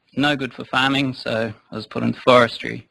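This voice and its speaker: Speaking with a New Zealand accent, a man keeps a medium pitch and fairly even intonation. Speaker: forestry consultant. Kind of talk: conference talk. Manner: hesitant, many fillers. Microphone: too quiet for the back of the room.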